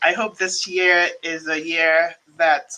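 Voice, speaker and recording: With a Nigerian accent, a woman speaks in a fairly low pitch, her tone bright and sharp. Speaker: immigration attorney. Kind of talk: live stream talk. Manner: casual, many fillers.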